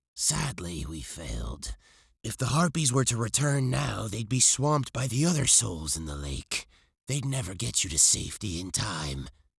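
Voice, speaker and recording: This put-on character voice leaps through very wide pitch swings. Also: man, fairly low pitch for a man, moderate pace. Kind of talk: read story. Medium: read story.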